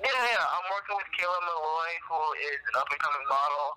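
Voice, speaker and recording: A man talks at a moderate pace with fairly even intonation. Noticeable background noise can be heard. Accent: New Jersey. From northern New Jersey, US. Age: 20s. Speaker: PR company co-founder and college student. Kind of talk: interview.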